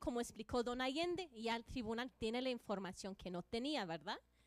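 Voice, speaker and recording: The sound is dry and close, with no echo at all. A woman talks with lively intonation. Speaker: conference panelist. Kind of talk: panel presentation.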